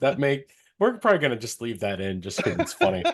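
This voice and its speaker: Talking at a very fast pace, a man's voice makes very wide pitch swings. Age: 30s. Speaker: podcast host. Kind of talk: casual chat.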